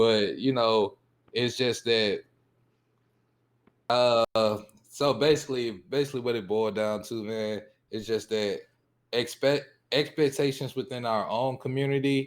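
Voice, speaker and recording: Speaking in a Southern US accent at a fairly slow pace, with long, frequent pauses and fairly even intonation, the voice comes through on a very clean recording with a silent background. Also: man, medium pitch for a man. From US South. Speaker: panel guest, former computer programmer. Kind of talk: casual panel discussion.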